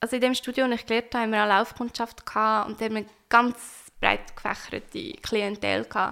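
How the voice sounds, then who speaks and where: A woman's fairly high pitch comes with a bright, sharp tone. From Switzerland, Nidwalden (Stans). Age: 20s. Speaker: tattoo artist. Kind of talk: casual interview.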